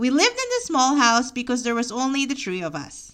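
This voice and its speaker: A woman with a Filipino accent, high pitch, bright and sharp tone, lively intonation and a moderate pace. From Philippines, near Manila. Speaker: memoir podcaster. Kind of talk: reading aloud of own memoir.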